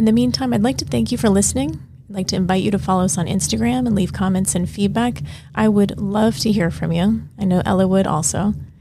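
Over noticeable background noise, a woman speaks at a very fast pace, her medium pitch swinging very widely. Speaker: podcast host and pelvic health physical therapist. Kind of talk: interview.

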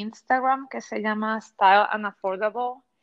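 A woman talks with ordinary pitch variation. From Puerto Rico. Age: 40s. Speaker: educator and fashion content creator. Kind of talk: interview.

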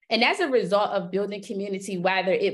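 This woman has an unremarkable speaking voice with an American accent and a medium pitch that varies in an ordinary way. The recording is very clean, with a silent background. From US East Coast, Philadelphia. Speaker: business strategist and media entrepreneur. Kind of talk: podcast interview.

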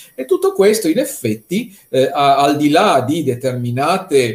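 At a very slow pace, a man speaks with very wide pitch swings. His voice is somewhat breathy. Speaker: art economist. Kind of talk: conference talk.

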